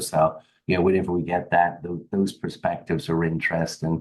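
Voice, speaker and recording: In an English accent, a man speaks with a very deep, low pitch. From England, Derby area. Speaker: HVAC business owner. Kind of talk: podcast interview. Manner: halting, many fillers.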